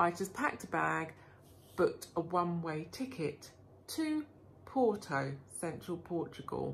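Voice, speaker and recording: Somewhat breathy and fairly slow, a woman speaks at a fairly low pitch with very wide pitch swings. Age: 50s. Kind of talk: casual vlog talk to camera.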